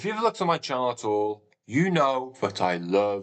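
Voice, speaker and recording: A man speaks with a British accent at a medium pitch. His pitch swings very widely. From England. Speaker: gaming streamer. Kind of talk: live stream chat. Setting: live stream. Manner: halting.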